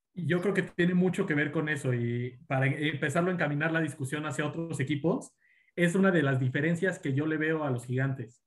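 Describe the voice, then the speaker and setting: Fairly quick and somewhat breathy, the delivery shows ordinary pitch variation. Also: man, fairly high pitch for a man. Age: 20s. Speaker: baseball fan guest. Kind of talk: casual sports chat.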